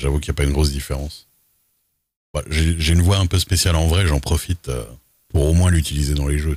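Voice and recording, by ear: Extremely low-pitched, a man talks at a fairly quick pace in a slightly mellow tone with a slightly husky edge and ordinary pitch variation.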